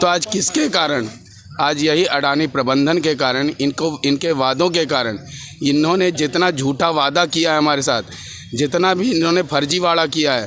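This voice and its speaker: A man talks with a fairly high pitch, ordinary pitch variation, and very even loudness. Noticeable background noise is present. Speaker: protesting displaced landowner. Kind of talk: protest interview to media. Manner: impassioned.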